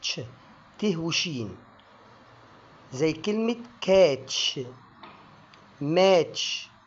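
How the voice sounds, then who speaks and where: A man with an Egyptian accent speaks in a high pitch. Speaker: English pronunciation teacher. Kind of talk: educational lesson to camera.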